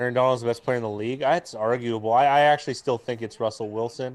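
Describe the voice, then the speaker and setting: A man talks at a medium pitch with fairly even intonation. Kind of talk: casual chat. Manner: loud.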